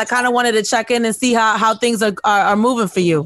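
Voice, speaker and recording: In an animated tone, the speaker talks at a very fast pace. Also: woman. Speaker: podcast host. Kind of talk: casual chat.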